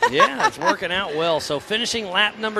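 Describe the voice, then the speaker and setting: Over noticeable background noise, a man speaks fairly quickly in a raised, projected, high-pitched voice. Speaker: live race commentator. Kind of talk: live commentary.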